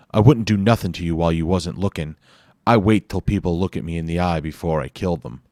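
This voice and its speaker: Putting on a character voice, a man talks very fast in a raspy, very deep, low register. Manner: menacing yet casual.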